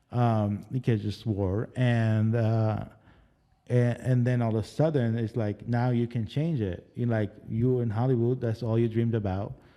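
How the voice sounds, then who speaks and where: A man with an Arabic accent, medium pitch, dark and mellow tone, fairly even intonation and a fairly slow pace. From Lebanon. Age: 40s. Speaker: casting director. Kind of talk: interview. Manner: halting.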